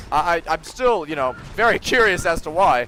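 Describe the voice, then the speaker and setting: The speaker is a man with a high pitch. Noticeable background noise is present. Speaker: gaming streamer. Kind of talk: casual chat. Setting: live stream. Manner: fast.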